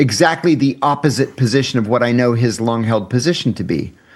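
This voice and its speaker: A man's plain, everyday voice at a fairly quick pace, with ordinary pitch variation, in a very clean recording against a silent background. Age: 60s. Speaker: former intelligence officer and whistleblower. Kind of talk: casual chat.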